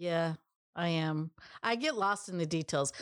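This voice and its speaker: A woman with a plain, everyday voice speaks at a fairly low pitch with ordinary pitch variation. The recording is very clean and dry, close with no echo and a silent background. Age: 50s. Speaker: co-founder of family business. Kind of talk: interview.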